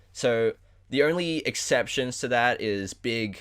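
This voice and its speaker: In a very clean recording with a silent background, a man with an Australian accent speaks with lively intonation. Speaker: podcast host. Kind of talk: casual chat.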